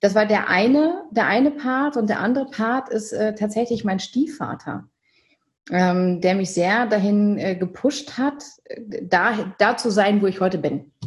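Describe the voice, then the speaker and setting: A woman talks at a fairly slow pace with a fairly high pitch and lively intonation. Her voice is somewhat breathy. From Germany, Münsterland. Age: 30s. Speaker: company director and event organizer. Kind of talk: interview. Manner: hesitant, many fillers.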